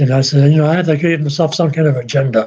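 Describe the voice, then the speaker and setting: A man speaks at a fairly high pitch with a dark, mellow tone and a somewhat breathy quality. His intonation stays fairly even. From Massachusetts, north of Boston. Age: 70s. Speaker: YouTuber. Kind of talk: casual live-stream monologue. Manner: rambling, hesitant with fillers.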